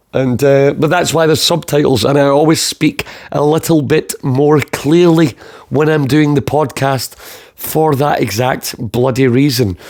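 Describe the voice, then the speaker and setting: In a Scottish accent, a man talks fairly slowly with ordinary pitch variation. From Scotland. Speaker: podcast host.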